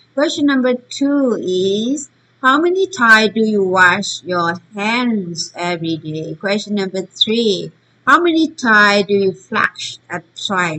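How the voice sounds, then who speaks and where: A woman with a Burmese accent at medium pitch, a bright, sharp tone, very wide pitch swings and a very slow pace. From Myanmar. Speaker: teacher. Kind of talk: online lesson. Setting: recorded online session. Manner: halting.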